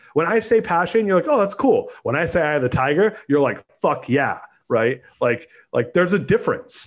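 Speaking with a Californian accent, a man uses a high pitch that swings very widely. His loudness stays very even. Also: moderate pace. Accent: Californian American. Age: 40s. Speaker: entrepreneur. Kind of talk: casual interview.

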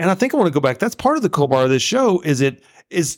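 In a Southern US accent, a man talks at a very fast pace with very wide pitch swings. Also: very clean recording, silent background. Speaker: guest co-host, host's father. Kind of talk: casual chat. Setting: studio.

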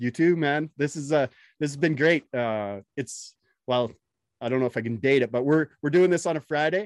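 Heard dry and close with no echo, a man with an unremarkable speaking voice and a fairly high pitch talks at a moderate pace with ordinary pitch variation. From Canada. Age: 40s. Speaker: podcast host and electrician. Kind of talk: casual interview chat.

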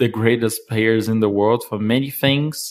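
A man speaks at medium pitch. He talks with a Portuguese accent. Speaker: board game community organizer. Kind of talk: interview. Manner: hesitant.

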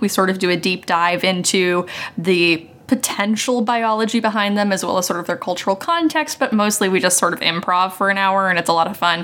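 A woman talks at a very fast pace in an American accent, with ordinary pitch variation. Noticeable background noise runs underneath. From West Virginia, US. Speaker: podcaster and game designer. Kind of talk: role-playing game actual play; casual chat.

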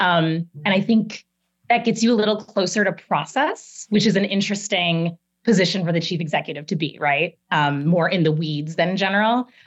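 This woman has a plain, everyday voice with an American accent and a medium pitch. Her pitch varies in an ordinary way at a moderate pace. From US Midwest, Chicago. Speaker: marketing executive. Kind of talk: interview.

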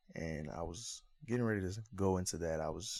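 Heard on a very clean recording with a silent background, the voice has an American accent, a dark, mellow tone and vocal fry. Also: man. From West Virginia (Charleston). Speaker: podcast co-host, former football player. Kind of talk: casual chat; promotional outro.

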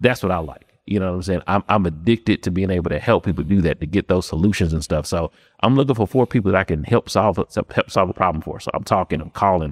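A man with an American accent talks at a very fast pace with hardly any pauses, in a very deep, low pitch with ordinary variation. The sound is dry and close, with no echo. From Memphis, Tennessee (US South). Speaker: real estate investor and wholesaler. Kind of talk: casual interview chat. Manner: casual, filler-heavy (um, you know what I'm saying).

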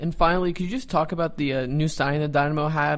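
This man has a normal speaking voice, fairly high in pitch, with fairly even intonation. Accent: American. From Dallas, Texas. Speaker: soccer podcast co-host. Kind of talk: casual chat.

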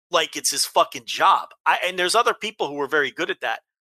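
Bright and sharp in tone, a man talks at a fairly quick pace with an animated tone and very wide pitch swings. The sound is dry and close with no echo, against a quiet background. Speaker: wrestling podcast host. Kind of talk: casual chat. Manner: halting.

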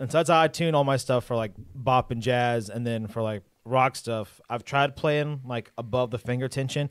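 A man with an unremarkable speaking voice talks at a moderate pace in a medium pitch. His intonation stays fairly even in a very clean recording with a silent background. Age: 20s. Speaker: drummer, co-host. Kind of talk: casual chat. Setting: live stream.

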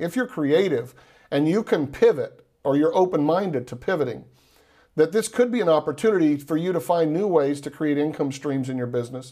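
A man with a Texan accent talks at a very fast pace in a fairly high voice with a dark, mellow tone. The recording is very clean with a silent background. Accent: Texan Southern US. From Texas. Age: 40s. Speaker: entrepreneur and investor. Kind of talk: radio interview.

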